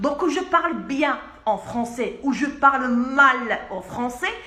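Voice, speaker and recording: Amid noticeable background noise and audible room echo, a woman talks at a high pitch with lively intonation. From Algeria. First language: Arabic (speaking French). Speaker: pharmacist. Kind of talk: video message. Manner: insistent.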